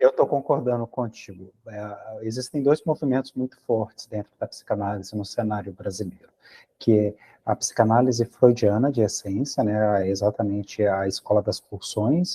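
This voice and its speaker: A man's medium-pitched, somewhat breathy voice with a dark, mellow tone and a Brazilian accent, at a moderate pace with ordinary pitch variation and a dry, close sound with no echo. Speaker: psychoanalysis teacher. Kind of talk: academic discussion. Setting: video call.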